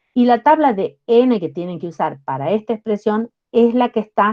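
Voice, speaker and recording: A woman with an unremarkable speaking voice, lively intonation, and a fairly slow pace. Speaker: university lecturer. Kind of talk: lecture.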